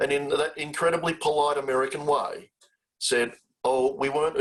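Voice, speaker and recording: The speaker has an Australian accent. He is a man. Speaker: charity CEO, webinar host. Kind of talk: webinar conversation.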